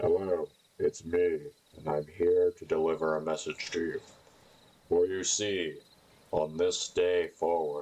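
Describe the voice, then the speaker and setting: This put-on character voice moves at a fairly slow pace. Long, frequent pauses come throughout. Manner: brooding, dramatic.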